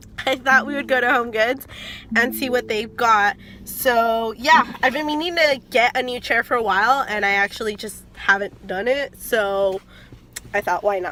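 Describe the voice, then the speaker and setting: A woman speaks at a moderate pace in a fairly high voice with ordinary pitch variation. There is noticeable background noise. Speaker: beauty and lifestyle vlogger. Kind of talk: casual vlog.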